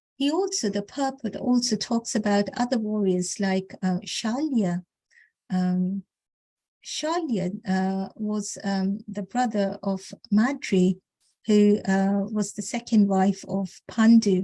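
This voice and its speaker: A woman speaks at a very slow pace in a medium pitch with ordinary pitch variation, her dark, mellow tone somewhat breathy, on a very clean recording with a silent background. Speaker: scripture class speaker. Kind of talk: religious discourse. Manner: halting, many fillers.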